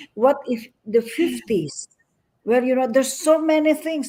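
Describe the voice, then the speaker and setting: A woman speaks in a dark, mellow tone. The recording is very clean, with a silent background. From Philippines. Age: 70s. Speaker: businesswoman, community leader. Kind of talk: interview. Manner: energetic.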